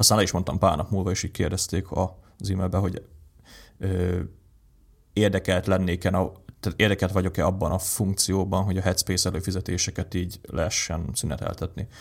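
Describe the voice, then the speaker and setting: A somewhat breathy voice moves at a fairly quick pace in monotone, flat intonation, captured in a very clean recording with a silent background. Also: man, very deep, low pitch for a man. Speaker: tech podcast co-host. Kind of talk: casual chat. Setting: home recording setup.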